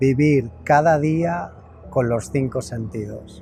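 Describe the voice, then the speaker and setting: With music in the background, the speaker talks at a very slow pace with lively intonation. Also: man. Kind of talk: casual talk to camera.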